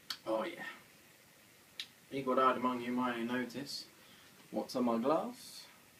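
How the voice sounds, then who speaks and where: Amid noticeable background noise and audible room echo, a man speaks at a fairly slow pace with fairly even intonation and long, frequent pauses. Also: medium pitch for a man. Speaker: homebrewing vlogger. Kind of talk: casual vlog; casual chat at an event. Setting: beer festival, crowded hall.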